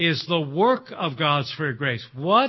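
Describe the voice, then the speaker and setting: Very wide pitch swings mark a man's speech, delivered at a very slow pace. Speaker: pastor. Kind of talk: sermon. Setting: church.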